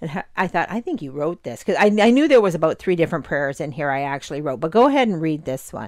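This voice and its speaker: This very clean recording with a silent background has a speaker with a Canadian accent going at a very fast pace, with very wide pitch swings and hardly any pauses. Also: woman, fairly low pitch for a woman. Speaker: podcast co-host. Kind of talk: casual chat.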